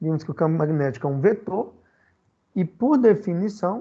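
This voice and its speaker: A man talks at a moderate pace in a dark, mellow tone. His pitch swings very widely. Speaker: physics teacher. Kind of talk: online lecture.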